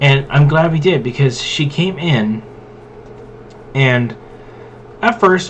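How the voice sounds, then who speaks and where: Fairly high male pitch over noticeable background noise, ordinary pitch variation, a fairly slow pace. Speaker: gaming and tabletop content creator. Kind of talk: casual rant while playing a game. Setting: gameplay recording. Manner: loud; casual, filler-heavy.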